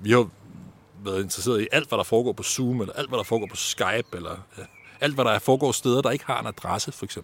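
This man speaks very quickly. His volume rises and falls sharply. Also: medium pitch for a man, ordinary pitch variation. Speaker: university lecturer and researcher. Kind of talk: interview. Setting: outdoors in a garden.

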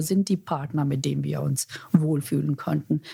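A woman speaks at a fairly slow pace with a non-native accent. Her tone is dark and mellow, with vocal fry. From India. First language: not German (speaking German). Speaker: corporate executive. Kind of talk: interview. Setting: office. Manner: halting, with fillers.

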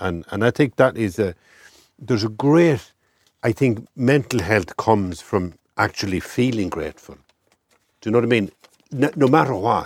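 Speaking in an Irish midlands accent, a man with a medium pitch leaves long, frequent pauses. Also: lively intonation, moderate pace, dry, close sound with no echo. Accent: Irish, rural midlands. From rural Ireland. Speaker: writer and columnist. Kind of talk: interview conversation. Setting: in a camper van.

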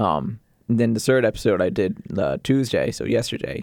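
Recorded very cleanly over a silent background, a man speaks at a moderate pace. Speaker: sports play-by-play announcer and podcaster. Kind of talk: casual interview. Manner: hesitant, filler-heavy.

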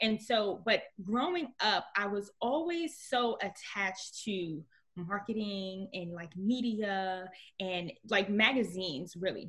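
Against a quiet background, a woman with an American accent speaks at a very slow pace with lively intonation. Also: medium pitch for a woman. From Newark, New Jersey. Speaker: entrepreneur, personal development coach. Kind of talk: interview conversation.

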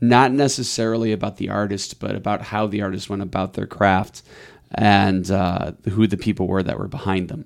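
A man talks in an unremarkable speaking voice at a fairly low pitch. He holds a moderate pace and fairly even intonation. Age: 30s. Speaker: music label entrepreneur. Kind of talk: interview conversation.

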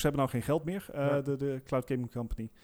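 On a very clean recording with a silent background, a man talks fairly quickly in a normal speaking voice with ordinary pitch variation. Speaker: podcast co-host. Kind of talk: casual chat.

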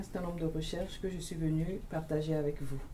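A woman is speaking. Room echo can be heard. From Togo. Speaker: university teacher union member. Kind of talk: panel discussion. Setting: studio.

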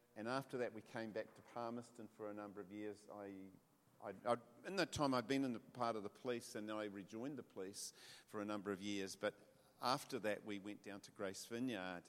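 With a New Zealand accent, a man talks at a fairly quick pace, his fairly low voice holding a fairly even intonation. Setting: church with audience.

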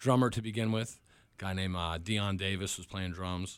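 A man speaks with an American accent at a very deep, low pitch. His pace is fairly quick and his intonation fairly even, on a very clean recording with a silent background. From New York (Long Island). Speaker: rock band leader and musician. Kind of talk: casual radio interview. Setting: radio studio. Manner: hesitant, many fillers.

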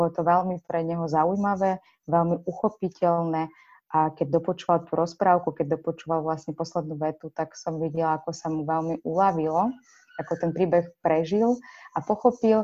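A woman speaks at a moderate pace in a plain, everyday voice, her fairly low pitch and fairly even intonation set against a quiet background. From Ukraine. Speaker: children's book author. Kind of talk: interview.

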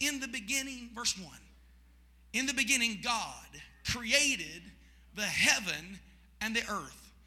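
A man speaks at an extremely high pitch with ordinary pitch variation. Audible room echo surrounds his voice. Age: 40s. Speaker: pastor. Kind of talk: Pentecostal evening sermon, call-and-response preaching. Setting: church service with congregation. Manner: fervent, rising preacher cadence with shouted congregation prompts; repetitive, rhythmic emphasis with restarts.

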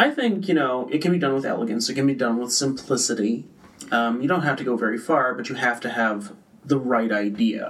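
This man talks at a fairly quick pace with ordinary pitch variation and a medium pitch. He has an unremarkable speaking voice. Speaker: social media specialist. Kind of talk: casual chat. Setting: studio.

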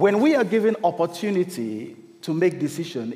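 A man speaks at a fairly slow pace with lively intonation. Audible room echo and noticeable background noise fill the recording. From Cameroon. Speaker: lay preacher. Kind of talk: sermon.

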